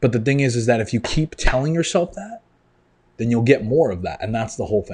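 A man, somewhat breathy and very fast, animated in tone with lively intonation, over a quiet background. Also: medium pitch for a man. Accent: American. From New York. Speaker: online fitness coach. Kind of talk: motivational monologue.

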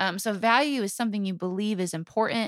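A woman talks at a fairly quick pace in an animated tone, with a medium pitch. The recording is very clean, with a silent background. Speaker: podcast co-host. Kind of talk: casual chat. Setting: home bedroom.

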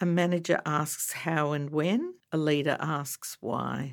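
The voice has an Australian accent, ordinary pitch variation and a fairly slow pace. The recording is very clean, with a silent background. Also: woman. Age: 60s. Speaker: breast cancer advocate. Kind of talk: interview. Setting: studio.

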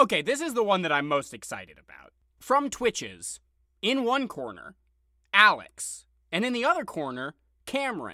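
A man's raised, projected voice, high-pitched with a bright, sharp tone, very wide pitch swings, big swings in loudness, a moderate pace and long, frequent pauses, on a very clean recording with a silent background. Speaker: podcast host. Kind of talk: casual banter podcast chat.

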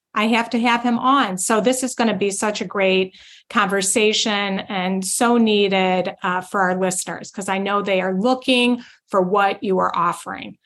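A woman's unremarkable speaking voice, medium pitched, at a moderate pace with fairly even intonation. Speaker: podcast host. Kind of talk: casual interview.

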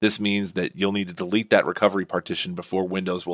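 The delivery is monotone, with flat intonation. The sound is dry and close with no echo, on a very clean recording with a silent background. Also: man. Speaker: podcast host. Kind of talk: scripted-style tech podcast monologue, informative. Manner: fast talker; informal, conversational, explanatory.

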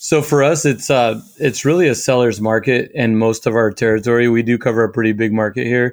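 A man speaks at a fairly quick pace with hardly any pauses, in an unremarkable speaking voice at a medium pitch. The recording is very clean, with a silent background. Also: ordinary pitch variation. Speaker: real estate agent. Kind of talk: interview conversation.

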